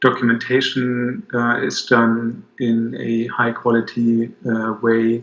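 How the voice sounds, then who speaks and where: A man speaks with a German accent. His pitch sits at a medium level. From Germany. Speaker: business owner, client. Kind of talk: video testimonial. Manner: halting, many fillers.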